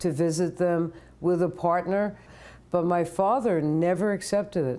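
In a New York accent, a woman talks with a fairly low pitch, a dark, mellow tone and fairly even intonation. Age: 70s. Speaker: retired professor and activist. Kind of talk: interview. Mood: reflective, personal memories. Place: home room. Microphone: lapel.

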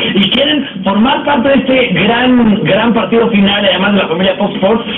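Noticeable background noise accompanies speech delivered at a moderate pace. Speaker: TV show host. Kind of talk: TV interview host. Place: studio.

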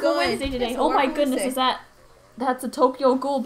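A woman speaks very fast in a high voice with monotone, flat intonation. Noticeable background noise runs underneath. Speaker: game streamer. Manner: fast talker.

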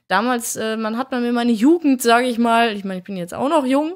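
Her pitch varies in an ordinary way as the woman talks against a quiet background. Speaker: gaming YouTuber. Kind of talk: casual commentary over gameplay video. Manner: animated. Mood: reflective, calm. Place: home room.

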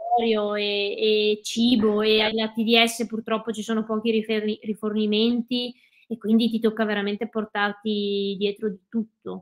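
A woman's fairly high voice, very slow and monotone, with flat intonation. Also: quiet background. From Veneto, Italy (Cadore, Dolomites); Veneto, Italy. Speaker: ultra trail runner and ski mountaineer; guest. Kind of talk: interview. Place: home room. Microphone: video call.

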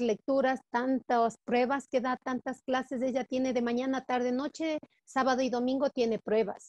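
A woman with a high pitch talks at a fairly slow pace, the sound dry with no echo and the background quiet. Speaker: teacher. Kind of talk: personal testimony in online class discussion. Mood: warm, moved, heartfelt. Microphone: video call.

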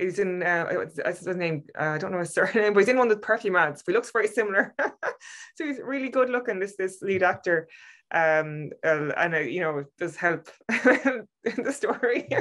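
Lively intonation carries the speech against a quiet background. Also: woman, moderate pace. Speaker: podcast co-host reviewing a short film. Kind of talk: casual film review discussion. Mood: warm, moved. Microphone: video call.

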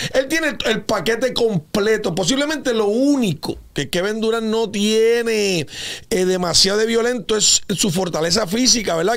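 A high-pitched man's voice at a moderate pace, with ordinary pitch variation and a quiet background. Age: 50s. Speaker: basketball analyst. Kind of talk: sports talk show discussion. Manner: animated. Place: studio. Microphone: studio mic.

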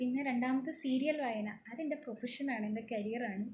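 Over light background noise, a soft-spoken woman talks in a high-pitched voice. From Kerala. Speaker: TV serial actress and nurse; TV serial actress. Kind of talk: live Q&A reading viewer comments. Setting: social media live video from home. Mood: cheerful, relaxed. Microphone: earbuds.

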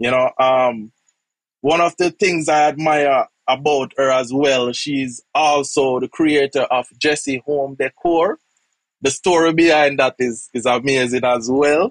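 Spoken at a very slow pace, this voice carries a Jamaican accent. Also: man, quiet background, dry sound with no echo. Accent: Jamaican English with patois. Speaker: podcast host. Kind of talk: interview. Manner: repeats words, halting. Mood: warm, admiring. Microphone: earbuds.

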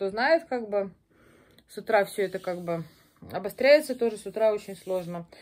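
A woman speaks with a dark, mellow tone and ordinary pitch variation. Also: quiet background. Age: 40s. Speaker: video blogger; pregnancy vlogger. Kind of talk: casual vlog monologue; casual vlog chat. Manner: halting, many filler words. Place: home room. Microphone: phone near.

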